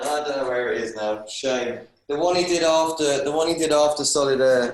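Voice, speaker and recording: With audible room echo, a man speaks at a moderate pace in a fairly high voice with ordinary pitch variation. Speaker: singer-songwriter. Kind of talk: casual interview chat. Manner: halting.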